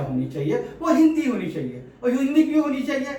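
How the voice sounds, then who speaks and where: A man's pitch swings very widely amid audible room echo and noticeable background noise. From India, Pune (Maharashtra). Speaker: political commentator and author. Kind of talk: opinion monologue to camera. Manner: blunt, forceful.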